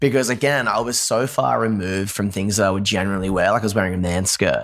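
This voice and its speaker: This very clean recording with a silent background carries a voice with an Australian accent. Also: man. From Australia, Newcastle. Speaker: musician, former pastor. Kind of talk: casual interview chat. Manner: energetic, animated.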